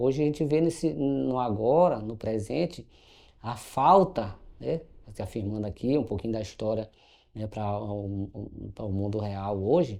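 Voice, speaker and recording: A man's dark, mellow tone at a fairly slow pace, with very wide pitch swings and a quiet background. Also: fairly low pitch for a man. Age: 50s. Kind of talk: panel talk, personal testimony. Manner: halting, many fillers and restarts.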